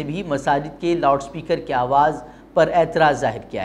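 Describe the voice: Male voice, moderately paced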